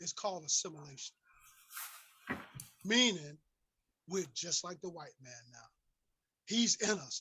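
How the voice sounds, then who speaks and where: A man speaks at a moderate pace with long, frequent pauses and big swings in loudness. His high-pitched voice has a bright, sharp tone and lively intonation. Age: 60s. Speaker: community activist speaker. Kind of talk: impassioned lecture. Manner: animated.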